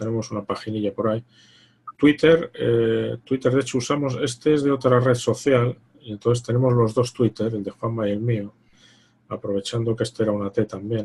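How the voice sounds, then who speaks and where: Moderate pacing and ordinary pitch movement in a man's somewhat breathy, medium-pitched voice. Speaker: investment fund manager. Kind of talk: online presentation Q&A.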